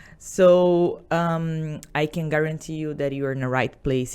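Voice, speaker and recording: This woman speaks with a Portuguese accent on a very clean recording with a silent background. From Brazil. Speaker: salon business owner. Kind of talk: podcast interview. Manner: halting.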